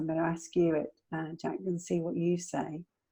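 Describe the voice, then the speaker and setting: A woman with a northern English accent speaks in a fairly low pitch. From northern England. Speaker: midlife strategist. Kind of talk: interview chat. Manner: halting, with fillers.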